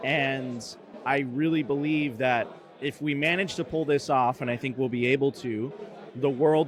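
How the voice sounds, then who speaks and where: A man with a fairly high voice and ordinary pitch variation speaks at a moderate pace over noticeable background noise. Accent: American. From US, Miami. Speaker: media company founder and host. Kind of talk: casual interview chat.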